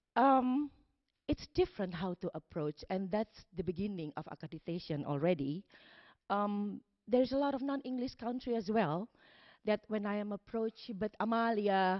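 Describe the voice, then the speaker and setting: Speaking with a non-native accent, a woman talks at a moderate pace. Her medium-pitched voice has lively intonation. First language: not English. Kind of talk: conference panel talk. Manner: halting.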